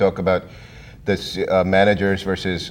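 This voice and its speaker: The speaker uses a plain, everyday voice with an American accent. The pace is moderate. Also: man. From India. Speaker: IT consultant. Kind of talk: interview.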